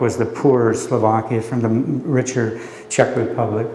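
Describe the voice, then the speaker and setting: A man with an American accent and a medium pitch speaks at a moderate pace, with audible room echo and noticeable background noise. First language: Slovak. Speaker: poet and professor. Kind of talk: poetry reading and talk. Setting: library event with audience. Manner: hesitant with many fillers.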